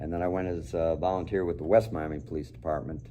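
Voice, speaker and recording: Very deep and low, a man's dark, mellow voice carries vocal fry and an American accent, with ordinary pitch variation and audible room echo. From Chicago, US Midwest. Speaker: retired police officer. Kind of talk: interview. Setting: studio.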